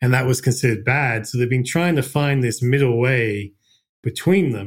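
In a very clean recording with a silent background, a somewhat breathy man with an Australian accent speaks fairly quickly at medium pitch with ordinary pitch variation. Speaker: investment fund manager. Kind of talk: casual interview.

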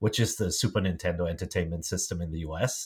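At a fairly quick pace, a man with a German accent talks with ordinary pitch variation. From small-town Germany. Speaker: media executive. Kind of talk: interview. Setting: remote call. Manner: halting, many fillers and repeats.

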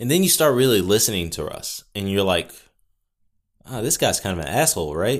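A booming, fairly low-pitched man with an American accent, very wide pitch swings and a fairly quick pace, on a very clean recording with a silent background. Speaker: podcaster. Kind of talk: casual solo chat. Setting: home recording with mic. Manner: casual, rambling, filler words.

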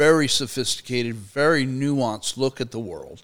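In a very clean recording with a silent background, a man with an American accent and an ordinary speaking voice talks at medium pitch and a moderate pace, with ordinary pitch variation. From Arizona. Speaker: Marine veteran and labor professor. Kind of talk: casual chat.

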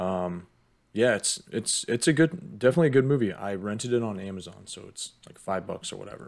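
Delivered at a fairly quick pace, an unremarkable speaking voice carries lively intonation and big swings in loudness. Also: man, medium pitch for a man. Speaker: podcast co-host. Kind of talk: casual chat.

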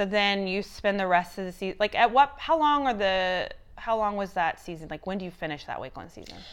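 Against a quiet background, a woman with an ordinary speaking voice and medium pitch talks at a fairly quick pace with hardly any pauses and big swings in loudness. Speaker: podcast host. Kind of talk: casual chat interview. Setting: home, recorded in a house.

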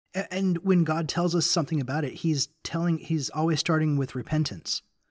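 A somewhat breathy male voice at a fairly quick pace. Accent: American. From US South, Memphis, Tennessee. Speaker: guest co-host on a faith podcast. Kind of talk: casual religious discussion.

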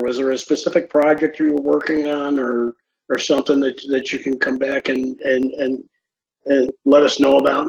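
A man with an American accent, fairly high pitch, and moderate pace. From New York. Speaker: podcast host and reliability trainer. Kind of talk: interview.

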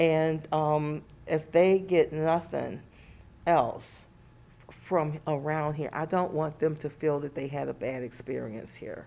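With an American accent, a woman speaks in a very deep, low pitch, her tone dark and mellow and her intonation fairly even. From Cleveland, Ohio. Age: 60s. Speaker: psychiatric nurse. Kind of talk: interview. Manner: halting.

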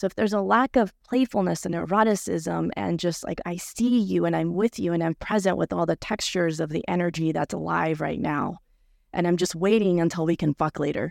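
Speaking at a fairly quick pace, a woman with a fairly low pitch shows vocal fry and lively intonation in a very clean recording with a silent background and a dry, close sound with no echo. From Peru. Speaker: sex and relationship coach. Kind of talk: live panel interview.

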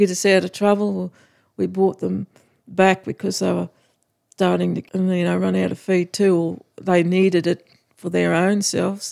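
Here a woman speaks with a rural Australian accent at a moderate pace. The sound is dry and close, with no echo. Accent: broad rural Australian. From Australia, outback Queensland (Winton). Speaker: cattle farmer. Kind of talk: interview, casual chat.

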